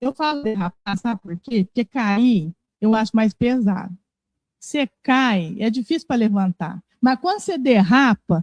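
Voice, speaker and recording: Recorded dry and close with no echo, a woman speaks at a fairly slow pace with a somewhat breathy, fairly high voice and lively intonation. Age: 60s. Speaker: spiritist lecturer. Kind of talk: religious talk. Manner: conversational.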